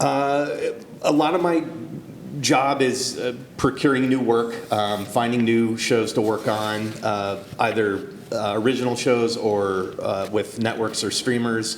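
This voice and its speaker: Over noticeable background noise and audible room echo, a man talks at a fairly slow pace with medium pitch and ordinary pitch variation. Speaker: animation producer. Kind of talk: talk show interview. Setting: stage with audience. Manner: halting, many fillers.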